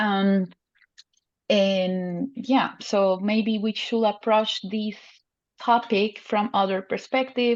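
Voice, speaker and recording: Against a quiet background, a woman speaks very slowly at a fairly high pitch with fairly even intonation. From Colombia. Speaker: panelist. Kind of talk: panel discussion. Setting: video call.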